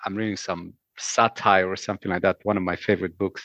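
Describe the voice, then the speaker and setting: Recorded with a dry, close sound and no echo, a man with a Romanian accent speaks at a fairly low pitch. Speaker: former cruise ship bartender. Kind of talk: casual chat.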